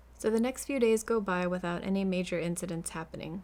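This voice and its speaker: A woman with a plain, everyday voice speaks at a moderate pace and medium pitch with an American accent and fairly even intonation, on a very clean recording with a silent background. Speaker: true crime storyteller and crocheter. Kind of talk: casual storytelling. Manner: casual, chatty.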